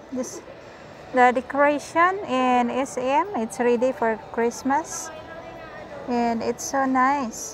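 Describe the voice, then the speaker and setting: A woman with a high pitch speaks at a very slow pace, using ordinary pitch variation. The sound is dry with no echo, with faint music in the background. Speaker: vlogger. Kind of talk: casual vlog chat. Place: shop. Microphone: phone near.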